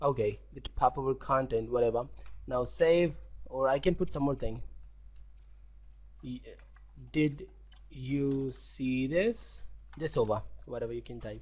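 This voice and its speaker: A man with an Indian accent at a fairly slow pace, with long, frequent pauses. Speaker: web development tutor. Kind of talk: tutorial. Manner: halting, with frequent self-corrections.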